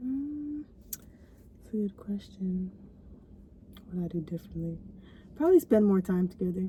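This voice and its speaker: Soft-spoken, a woman talks at a moderate pace. She leaves long, frequent pauses. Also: medium pitch for a woman, lively intonation, big swings in loudness. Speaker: vlogger. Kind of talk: casual chat.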